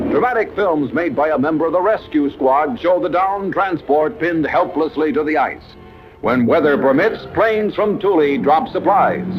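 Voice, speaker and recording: Lively intonation and very even loudness come at a moderate pace over music in the background. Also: man, high pitch for a man. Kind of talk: newsreel narration.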